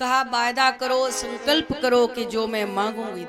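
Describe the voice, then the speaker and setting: Music plays in the background as a woman speaks in a fairly high voice. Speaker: religious storyteller. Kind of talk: spiritual discourse.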